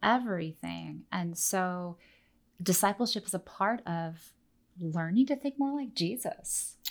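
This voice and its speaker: A woman with a normal speaking voice, medium pitch and ordinary pitch variation, at a fairly slow pace on a very clean recording with a silent background. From Oregon, US. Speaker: teacher and missionary. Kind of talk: interview, teaching talk.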